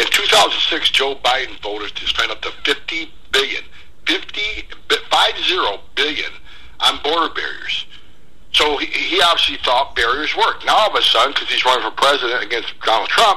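Long, frequent pauses against noticeable background noise. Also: man, moderate pace. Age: 50s. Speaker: former immigration enforcement director. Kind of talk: radio interview. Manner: forceful, straightforward.

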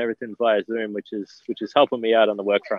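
A man speaks at a very fast pace. He has an Australian accent. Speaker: sports reporter. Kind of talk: interview.

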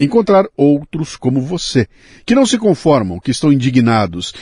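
A man's dark, mellow voice with very wide pitch swings, dry and close with no echo, against a quiet background. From Bauru, São Paulo state, Brazil. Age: 60s. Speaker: podcast host. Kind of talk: casual interview.

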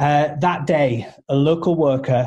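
Speaking in a flat monotone with a British accent, a man has a dark, mellow tone, a somewhat breathy quality and a fairly high pitch. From United Kingdom. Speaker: charity representative, radio show guest. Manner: earnest, storytelling.

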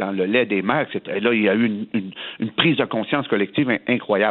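The voice belongs to a man. It is medium in pitch. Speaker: politician. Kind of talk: radio interview.

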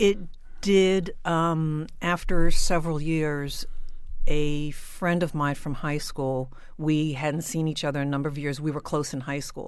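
A woman with a very deep, low voice speaks at a fairly slow pace, her intonation fairly even, with audible echo in the room. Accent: American. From South Jersey, US. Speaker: person in addiction recovery. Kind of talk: personal testimony interview.

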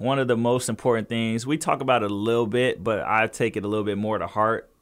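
In an American accent, a man with an unremarkable speaking voice of medium pitch talks at a fairly quick pace on a very clean recording with a silent background. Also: hardly any pauses. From Southern California, Inland Empire. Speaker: professional basketball player. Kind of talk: interview.

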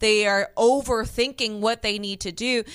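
A woman with a plain, everyday voice speaks at a fairly high pitch and fairly even intonation on a very clean recording with a silent background. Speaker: color commentator. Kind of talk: live commentary.

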